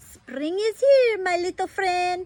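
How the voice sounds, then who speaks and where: A woman puts on a squeaky character voice at an extremely high pitch, her intonation lively. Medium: read story. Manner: warm, gentle.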